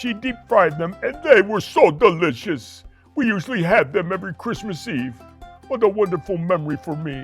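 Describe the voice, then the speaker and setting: A cartoonish character voice from a man, high-pitched, at a moderate pace, with faint music in the background. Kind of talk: children's puppet show.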